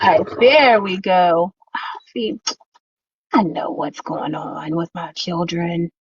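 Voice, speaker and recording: Very slowly and with long, frequent pauses, a woman speaks at a fairly low pitch with ordinary pitch variation and big swings in loudness. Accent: Louisiana. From Louisiana. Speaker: crafter. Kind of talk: casual chat. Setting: live stream.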